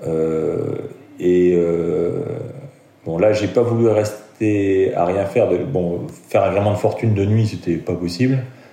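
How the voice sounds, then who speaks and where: A man's very deep, low voice at a very slow pace, with ordinary pitch variation, noticeable background noise and audible room echo. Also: long, frequent pauses. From France, Lorraine (Metz). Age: 50s. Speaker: amateur offshore sailor. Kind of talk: interview storytelling. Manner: hesitant, many fillers.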